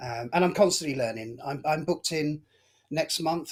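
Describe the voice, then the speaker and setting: This somewhat breathy man has a fairly high pitch, ordinary pitch variation and a fairly quick pace. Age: 60s. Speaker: hobbyist aviation and wildlife photographer. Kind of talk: interview.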